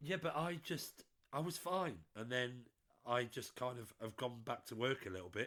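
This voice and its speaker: With a British accent, a man talks at a moderate pace and medium pitch. His tone is bright and sharp, and his intonation is lively. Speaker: podcast co-host. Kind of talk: casual chat.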